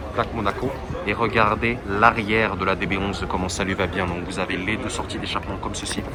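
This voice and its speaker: Amid noticeable background noise and audible room echo, a man with a fairly low pitch speaks at a fairly quick pace. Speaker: car-spotting youtuber. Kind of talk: vlog commentary. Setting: outdoors. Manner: loud; enthusiastic.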